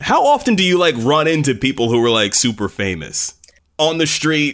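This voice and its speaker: A man with an unremarkable speaking voice and lively intonation talks at a moderate pace. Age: 20s. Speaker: podcast host, former country radio host. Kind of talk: casual chat.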